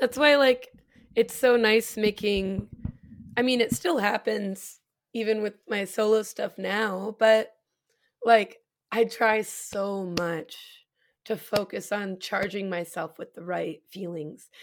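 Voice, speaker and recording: Speaking very slowly in a West Coast US accent, a woman uses a fairly high pitch with ordinary pitch variation, in a very clean recording with a silent background. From US Pacific Northwest (Spokane, Washington). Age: 30s. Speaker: singer and performer. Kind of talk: casual chat.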